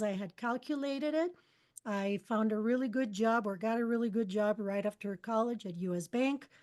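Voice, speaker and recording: A woman speaks at a moderate pace with a Spanish accent and a fairly high pitch. The background is quiet. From Costa Rica. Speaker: spiritual mentor and channeler. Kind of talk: interview. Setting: podcast interview.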